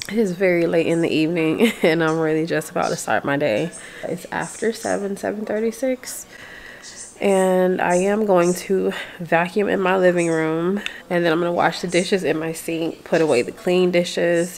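In an ordinary speaking voice, a woman talks at a moderate pace with fairly low pitch and ordinary pitch variation over light background noise. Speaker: vlogger. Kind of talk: casual vlog chat. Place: home room. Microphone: phone near.

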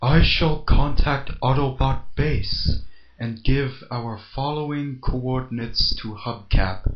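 Someone speaks in a put-on character voice at a fairly slow pace. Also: man, medium pitch for a man. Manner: formal, polite.

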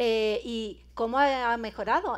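In an Andalusian accent, a woman speaks at a fairly high pitch. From Andalusia, Spain. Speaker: cybersecurity speaker and lecturer; speaker, lecturer. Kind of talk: conference talk. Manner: animated, informal. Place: hall.

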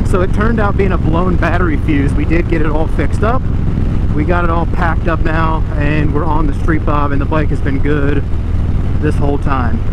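A man talks fairly quickly in a dry, echo-free sound while loud background noise fills the clip. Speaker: motorcycle vlogger. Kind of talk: casual vlog chat. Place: motorbike.

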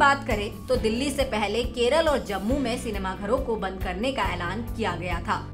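Music plays in the background as this woman talks. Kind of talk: TV news report.

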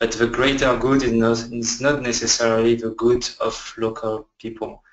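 In a French accent, a man speaks fairly slowly at a medium pitch, his intonation monotone and flat. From France. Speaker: research scientist. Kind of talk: webinar presentation. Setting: online webinar.

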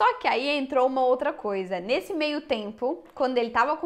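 The speaker is a woman. She shows ordinary pitch variation. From Brazil. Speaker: YouTuber. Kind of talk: casual chat. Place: home room. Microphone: lapel.

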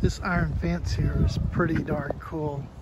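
There is loud background noise, but the sound is dry with no echo. A man talks at a fairly slow pace. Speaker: travel vlogger. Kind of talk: casual vlog chat. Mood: cheerful, amused. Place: street. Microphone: phone near.

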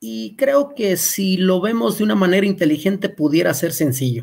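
A man with a high voice speaks at a fairly slow pace with lively intonation. The background is quiet. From Mexico. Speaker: agronomist; presenter. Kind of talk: webinar lecture. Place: home room. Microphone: webcam.

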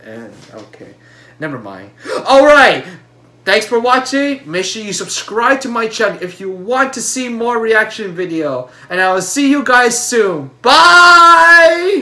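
At a fairly slow pace, a man uses a raised, projected voice with very wide pitch swings. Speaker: reaction video creator. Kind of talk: casual vlog chat. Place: home room. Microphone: webcam.

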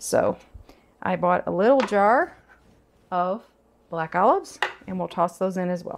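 With ordinary pitch variation, the woman keeps to a moderate pace. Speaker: home cooking show host. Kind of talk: tutorial. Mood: cheerful, enthusiastic. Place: kitchen. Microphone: lapel.

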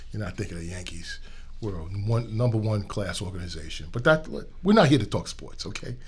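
With a New York accent, a man talks at a fairly quick pace in a fairly low, somewhat breathy voice. His intonation is lively, with big swings in loudness. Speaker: transportation executive. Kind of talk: casual interview.

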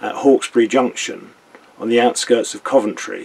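The man talks at a moderate pace. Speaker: canal boat vlogger. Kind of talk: casual vlog chat. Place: boat. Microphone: webcam.

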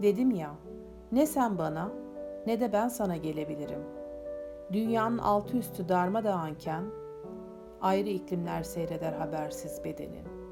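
Her pitch swinging very widely, a woman speaks with long, frequent pauses as music plays in the background. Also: fairly low pitch for a woman, fairly slow pace. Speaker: poet. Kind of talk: poetry reading.

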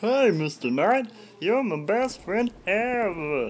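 A man talks at a fairly slow pace in a cartoonish character voice pitched high. Clear background noise runs behind him. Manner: excited.

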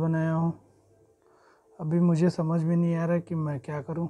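A man with a high pitch speaks at a fairly slow pace in a flat monotone. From Gorakhpur, eastern Uttar Pradesh, India; Uttar Pradesh, India. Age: 20s. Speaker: vlogger; new YouTuber introducing himself. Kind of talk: personal vlog introduction. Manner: halting. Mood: calm, earnest, slightly humble. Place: home room. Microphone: lapel.

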